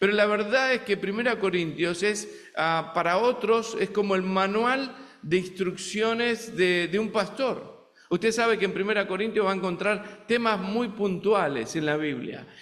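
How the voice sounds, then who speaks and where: Speaking at a fairly slow pace with a slight Argentine accent, a man with a high pitch and ordinary pitch variation is heard in a room with audible echo and noticeable background noise. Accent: Argentine Spanish, somewhat. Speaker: visiting preacher. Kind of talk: sermon. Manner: halting, many fillers.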